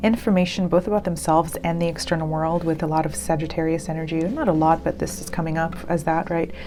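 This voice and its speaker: A woman's fairly low voice at a very fast pace, with hardly any pauses, monotone, flat intonation and noticeable background noise. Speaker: tarot card reader. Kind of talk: tarot reading. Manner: hesitant, many fillers.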